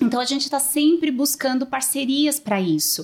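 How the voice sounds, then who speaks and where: On a very clean recording with a silent background, a woman speaks in a high pitch. Her intonation is lively. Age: 30s. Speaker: social worker, manager of a children's shelter. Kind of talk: interview.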